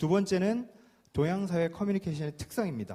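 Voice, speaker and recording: Speaking at a fairly quick pace, a man uses a high-pitched voice with a dark, mellow tone. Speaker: insurance sales lecturer. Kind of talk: lecture. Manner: fast.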